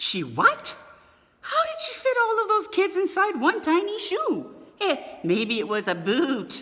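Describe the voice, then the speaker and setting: A woman's put-on character voice, extremely high in pitch and fairly slow. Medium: read story. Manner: eager, curious.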